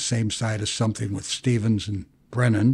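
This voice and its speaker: A man with a medium-pitched, somewhat breathy voice speaks in a fairly even tone over a very clean recording with a silent background. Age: 80s+. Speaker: bankruptcy attorney. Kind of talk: interview answer.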